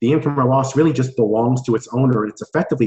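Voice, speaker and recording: Somewhat breathy, a man speaks at a very fast pace at a medium pitch with ordinary variation. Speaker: tax accountant. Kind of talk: webinar presentation.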